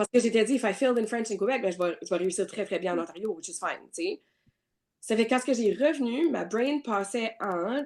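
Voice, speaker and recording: With an Acadian accent, a woman talks fairly quickly at a fairly high pitch, her intonation lively. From New Brunswick, Canada. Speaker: real estate broker. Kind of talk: podcast interview answer. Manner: casual, code-switching with English.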